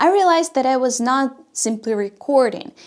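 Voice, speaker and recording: A woman with a non-native accent speaks at a moderate pace, her high pitch carried by lively intonation. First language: not English. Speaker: YouTube coach. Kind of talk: tutorial.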